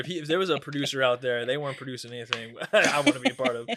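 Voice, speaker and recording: Amid noticeable background noise, a man with an American accent talks at a very fast pace and fairly high pitch, with ordinary pitch variation and big swings in loudness. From Coachella Valley, California. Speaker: stand-up comedian. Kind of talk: casual chat.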